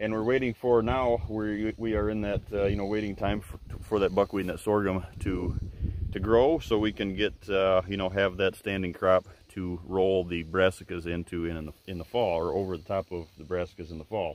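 The speaker has an American accent. The sound is dry with no echo, over light background noise. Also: man, very deep, low pitch for a man, ordinary pitch variation, moderate pace. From Michigan. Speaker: deer hunting video host. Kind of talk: outdoor tutorial. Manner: halting, many fillers. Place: open country. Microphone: phone near.

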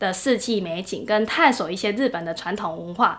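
A woman with a Taiwanese accent talks at a moderate pace with lively intonation. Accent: Taiwanese Mandarin. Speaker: working holiday visitor; interviewee. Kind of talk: interview testimonial. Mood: warm, pleasant. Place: meeting room.

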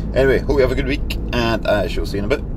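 Loud background noise behind a man, the sound dry with no echo. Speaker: small business owner vlogger. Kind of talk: casual vlog chat. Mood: relaxed and cheerful. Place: car. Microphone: phone near.

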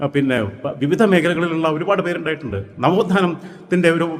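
A man talks in a high register with normal variation in pitch. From Kerala, Malappuram district (Manjeri). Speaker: political commentator. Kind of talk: political monologue. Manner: animated.

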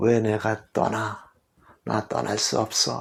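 Fairly slow and raspy, a man uses a put-on character voice at a fairly low pitch. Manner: shouting, demanding.

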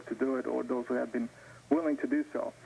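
A man talks at a very fast pace. Light background noise sits behind him. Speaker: caller. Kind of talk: call-in comment. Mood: calm, rebutting argument. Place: studio. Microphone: lapel.

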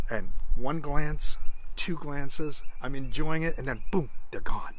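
A man is talking over light background noise. The sound is dry, with no echo. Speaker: speaker. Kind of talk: personal devotional storytelling. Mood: warm, joyful, reflective. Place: garden. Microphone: phone near.

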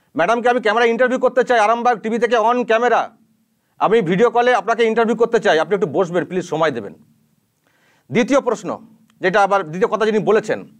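A man speaks in an animated tone at a high pitch. The background is quiet. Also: ordinary pitch variation. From West Bengal, Arambagh area (Hooghly); West Bengal, India. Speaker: YouTube news channel anchor, journalist. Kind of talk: direct-to-camera rebuttal commentary. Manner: animated, indignant. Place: studio. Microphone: lapel.

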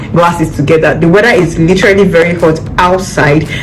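With music in the background, a woman at a fairly low pitch speaks at a very fast pace. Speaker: vlogger. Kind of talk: casual vlog chat. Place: home room. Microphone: phone near.

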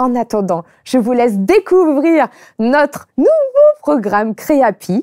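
Against a quiet background, a woman's dark, mellow voice moves through very wide pitch swings. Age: 30s. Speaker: YouTuber and brand founder; show host. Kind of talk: casual chat; casual talk show chat. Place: studio. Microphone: lapel.

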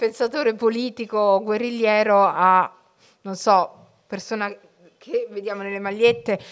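In a monotone, flat intonation, a woman speaks at a fairly slow pace. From Italy, Somali family background. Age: 40s. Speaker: writer and journalist; journalist. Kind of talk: public talk to school students. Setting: library event with live audience, streamed. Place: hall. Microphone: podium.

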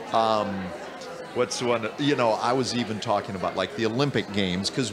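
Over noticeable background noise, a man speaks at a very fast pace with an American accent and ordinary pitch variation. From US Midwest. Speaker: interviewer. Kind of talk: interview. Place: hall.

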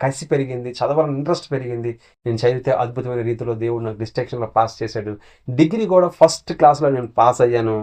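Over a quiet background, a man with a plain, everyday voice speaks at a medium pitch with ordinary pitch variation. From Srikakulam district, Andhra Pradesh, India. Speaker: pastor. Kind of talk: sermon; testimony.

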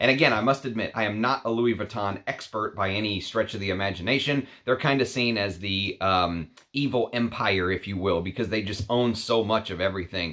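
A man's voice, an unremarkable speaking voice, fairly low-pitched, at a fairly quick pace with ordinary pitch variation, over a quiet background. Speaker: fragrance reviewer. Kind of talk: casual vlog chat. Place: home room.

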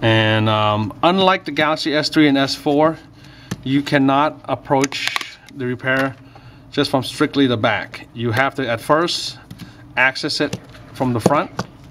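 A man at a fairly slow pace, ordinary pitch variation, noticeable background noise behind him. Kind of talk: tutorial. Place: workshop.

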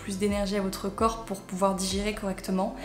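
A woman talks at a fairly quick pace. Faint music plays behind her, and the room echo is audible. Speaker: lifestyle youtuber. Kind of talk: casual advice vlog. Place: home room.

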